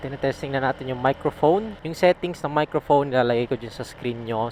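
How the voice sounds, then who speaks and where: A man talks with ordinary pitch variation over noticeable background noise. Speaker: motovlogger reviewing gear. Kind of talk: product review vlog. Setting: riding a motorcycle, wearing a helmet. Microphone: helmet visor closed, maybe muffled.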